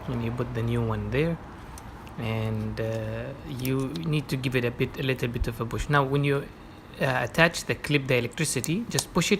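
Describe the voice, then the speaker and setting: A man speaks with an Arabic accent at a medium pitch. His pace is moderate and his pitch variation ordinary. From Oman. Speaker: car owner doing own repairs. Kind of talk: DIY car repair tutorial. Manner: hesitant, many fillers.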